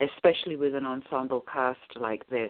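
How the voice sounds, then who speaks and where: Very deep and low in pitch, a woman speaks at a fairly slow pace with ordinary pitch variation. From England, Watford, Hertfordshire. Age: 60s. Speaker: actress and author. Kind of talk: interview. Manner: hesitant with fillers.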